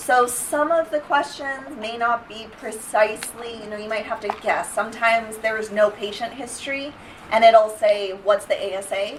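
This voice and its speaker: A woman's fairly high voice at a moderate pace, with ordinary pitch variation, big swings in loudness, hardly any pauses, noticeable background noise and audible room echo. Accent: slight Canadian. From Canada. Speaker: dental hygiene instructor. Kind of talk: lecture. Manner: casual, many fillers.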